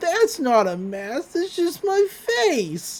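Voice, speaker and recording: In a put-on character voice, a woman speaks very slowly at an extremely high pitch, her pitch swinging very widely. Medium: solo performance.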